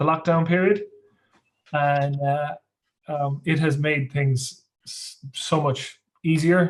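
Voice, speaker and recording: A somewhat breathy man with a western Irish accent, fairly high in pitch, with fairly even intonation at a very slow pace and long, frequent pauses. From west of Ireland. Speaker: workshop participant. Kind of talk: casual chat. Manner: halting, repeats words.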